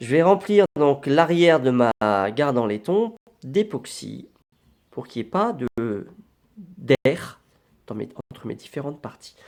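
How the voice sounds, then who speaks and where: Very wide pitch swings and long, frequent pauses from a man, with a dry, close sound and no echo. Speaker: knifemaker streamer. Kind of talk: live stream tutorial. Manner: casual, halting.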